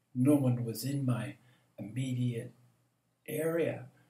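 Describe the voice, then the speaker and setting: At a very slow pace, a man speaks at medium pitch with a dark, mellow, somewhat breathy tone and fairly even intonation. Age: 70s. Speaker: meditation teacher. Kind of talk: spiritual reflection monologue.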